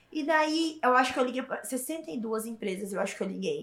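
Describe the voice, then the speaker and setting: A woman's high-pitched voice at a moderate pace. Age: 20s. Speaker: influencer and entrepreneur. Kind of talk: podcast interview.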